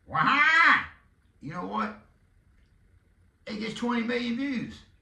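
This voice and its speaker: In a Southern US accent, a man with an extremely high pitch uses a raised, projected voice at a very slow pace, with lively intonation and audible room echo. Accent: Southern country drawl. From Texas. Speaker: podcast host and arena football team owner. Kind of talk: casual monologue.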